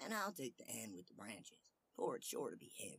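With big pitch swings, a put-on character voice moves at a moderate pace, fairly bright in tone with vocal fry and a slightly husky edge. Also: man.

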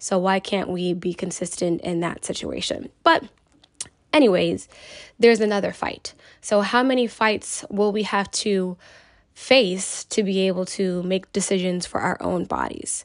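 A woman's unremarkable speaking voice, medium in pitch, with ordinary pitch variation and a fairly slow pace. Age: 20s. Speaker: podcast host, social worker. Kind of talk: solo opinion podcast.

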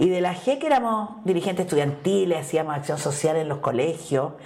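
With noticeable background noise and audible room echo, a woman talks at a fairly quick pace in a medium-pitched voice with lively intonation. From Chile, Santiago. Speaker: politician and feminist activist. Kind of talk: interview.

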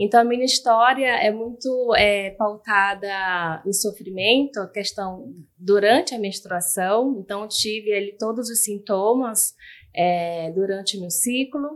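Speaking at a very slow pace, a woman shows ordinary pitch variation and big swings in loudness. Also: medium pitch for a woman. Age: 30s. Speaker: communications analyst and patient. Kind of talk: personal testimony. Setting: studio.

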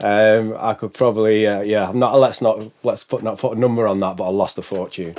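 A man's fairly low voice, a normal speaking voice, at a fairly quick pace with fairly even intonation. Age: 40s. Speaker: business consultant. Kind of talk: casual chat. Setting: studio.

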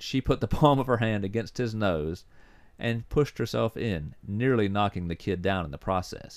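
The clip holds an unforced reading voice. Nothing else accompanies it.

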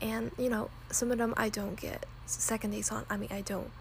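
A woman speaks in an American accent at a fairly quick pace. Noticeable background noise sits behind her. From Texas. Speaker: podcast host, college student. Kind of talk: casual monologue. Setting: home recording without proper mic.

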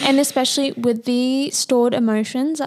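Over noticeable background noise, a woman speaks with fairly even intonation in an Australian accent. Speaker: podcast co-host. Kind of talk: casual chat.

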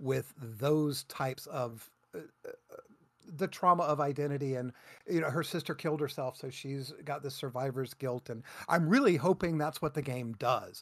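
In a very clean recording with a silent background, a man with an unremarkable speaking voice talks at a fairly high pitch, at a moderate pace, with fairly even intonation. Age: 50s. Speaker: gaming podcast co-host. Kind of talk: casual chat.

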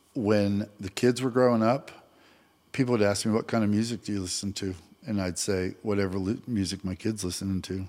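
A normal speaking voice from a man with an American accent, fairly low in pitch and at a fairly quick pace, on a very clean recording with a silent background. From Vermont, US. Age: 60s. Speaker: mortgage loan officer, father and grandfather. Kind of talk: casual interview chat.

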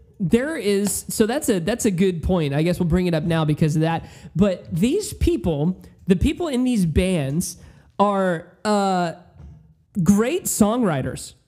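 A man at high pitch with a dark, mellow tone, lively intonation and a fairly slow pace. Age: 20s. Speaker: music podcast co-host. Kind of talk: casual chat.

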